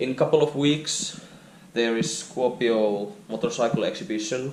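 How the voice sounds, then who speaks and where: With a Finnish accent, a man of medium pitch speaks at a fairly slow pace with ordinary pitch variation over noticeable background noise. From Finland. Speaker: motorcycle vlogger. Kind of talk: casual vlog walkaround. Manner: halting.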